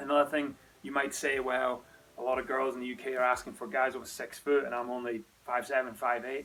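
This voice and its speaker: In a Scottish accent, a man with a medium pitch talks at a very fast pace in a flat monotone. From Scotland. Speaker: dating coach, lifestyle vlogger. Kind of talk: advice monologue to camera. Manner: casual, conversational.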